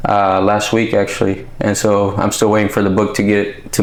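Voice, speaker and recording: A man with a fairly low pitch talks at a fairly quick pace in a monotone, flat intonation. Noticeable background noise and audible room echo are present. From California Central Valley, also Mexicali. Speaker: author and military veteran. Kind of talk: podcast interview. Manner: casual, with many fillers.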